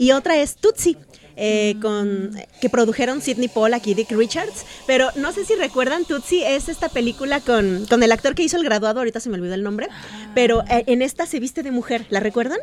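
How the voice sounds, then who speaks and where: A woman's high, lively-inflected voice at a fairly quick pace, with noticeable background noise. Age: 40s. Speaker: radio co-host. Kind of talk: casual chat.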